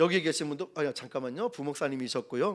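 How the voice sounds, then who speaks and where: A man with a Busan accent on a very clean recording with a silent background. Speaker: pastor, evangelism trainer. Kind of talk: sermon. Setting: church service. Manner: animated storytelling.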